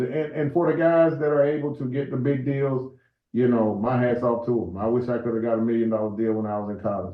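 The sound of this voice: Fairly quick delivery with audible room echo. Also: man.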